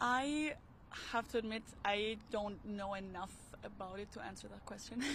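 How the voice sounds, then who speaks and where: A woman with an Austrian accent talks at a moderate pace and a medium pitch. Her pitch variation is ordinary, and her loudness shows big swings. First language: German. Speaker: passerby interviewed on the street. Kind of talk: casual street interview. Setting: outdoors at a park.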